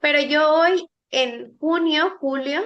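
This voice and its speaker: The speaker is a woman. Her pitch is high. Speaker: law student presenting a class. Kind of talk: lecture.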